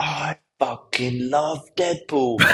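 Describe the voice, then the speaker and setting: A man in a put-on character voice at a medium pitch. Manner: enthusiastic.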